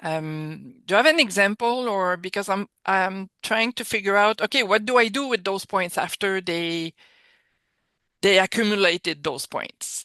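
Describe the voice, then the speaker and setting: This woman speaks at a moderate pace with a French accent, at a medium pitch with ordinary pitch variation and a bright, sharp tone. The sound is dry and close with no echo, over a quiet background. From France. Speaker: occupational therapist. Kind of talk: video call Q&A question.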